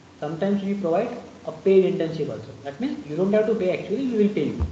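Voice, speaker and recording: Very fast and with ordinary pitch variation, a man's speech comes amid audible room echo and noticeable background noise. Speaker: python trainer. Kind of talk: online lecture.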